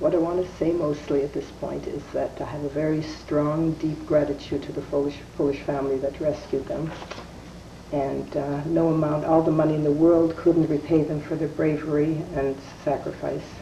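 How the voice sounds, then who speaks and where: Amid audible room echo and noticeable background noise, a woman speaks at a moderate pace in a very deep, low pitch with monotone, flat intonation. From Canada, Winnipeg, Manitoba. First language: Yiddish. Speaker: wife of Holocaust survivor. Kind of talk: testimony.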